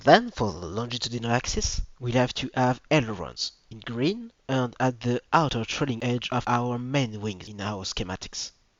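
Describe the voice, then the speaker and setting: A man with a strong French accent at medium pitch, moderate pace, and ordinary pitch variation. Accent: French accent, self-described as strong. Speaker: video presenter. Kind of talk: educational presentation.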